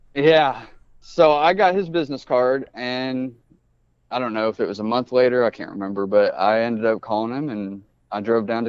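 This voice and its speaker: Speaking in a normal speaking voice, a man keeps a fairly quick pace at a medium pitch with ordinary pitch variation. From US Midwest, Indianapolis. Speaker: snake breeder. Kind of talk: casual chat.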